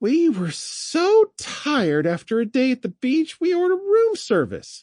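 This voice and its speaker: In a put-on character voice, the speaker goes at a moderate pace with high pitch and very wide pitch swings. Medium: read story. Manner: chatty, warm.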